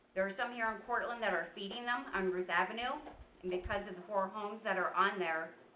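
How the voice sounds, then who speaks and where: There is audible room echo as a woman speaks with fairly even intonation. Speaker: resident speaking at public comment. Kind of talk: public comment at council meeting. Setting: council meeting room, seated. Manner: loud.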